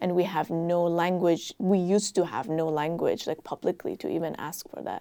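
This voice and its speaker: A woman speaks in a fairly low, dark and mellow voice with monotone, flat intonation and hardly any pauses. The recording is very clean, with a silent background. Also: moderate pace. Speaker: artist, writer and adjunct professor. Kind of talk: panel conversation.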